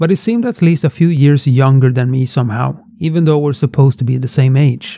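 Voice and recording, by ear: Reading aloud in a natural voice, nothing more.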